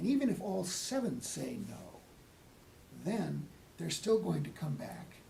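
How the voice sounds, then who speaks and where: A man speaks with long, frequent pauses. The room echo is audible. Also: fairly slow pace. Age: 80s+. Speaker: select board member. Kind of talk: town board meeting discussion. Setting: town hall meeting room.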